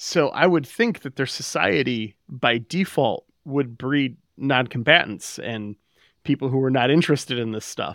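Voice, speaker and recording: Recorded with a dry, close sound and no echo, a man talks at a fairly slow pace in an unremarkable speaking voice of medium pitch with ordinary pitch variation. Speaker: podcast co-host. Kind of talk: casual chat.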